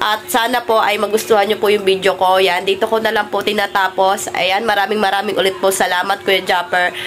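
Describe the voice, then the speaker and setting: The speech moves at a fairly quick pace with hardly any pauses and fairly even intonation. Loudness stays very even against noticeable background noise. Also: woman, medium pitch for a woman. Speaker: vlogger. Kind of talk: casual vlog narration. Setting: outdoors by a van, then at home.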